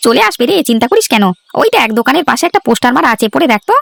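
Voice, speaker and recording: A cartoonish character voice from a man, extremely high-pitched and very fast, with lively intonation, very even loudness and a dry, close sound with no echo. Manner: brash, teasing.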